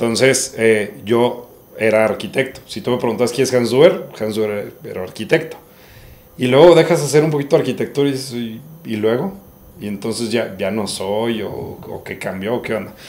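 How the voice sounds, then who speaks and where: At a moderate pace, a man talks in a normal speaking voice of medium pitch, his intonation lively and his loudness swinging widely. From Monterrey, northern Mexico. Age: 30s. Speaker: entrepreneur, winery co-founder, architect. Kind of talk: casual podcast interview.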